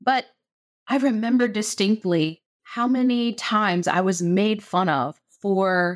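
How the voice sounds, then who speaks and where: A woman speaks with a slight West Virginia accent and lively intonation. The sound is dry and close with no echo, on a very clean recording with a silent background. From southern West Virginia, small town. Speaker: spiritual teacher and podcast host. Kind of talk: solo podcast monologue. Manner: animated.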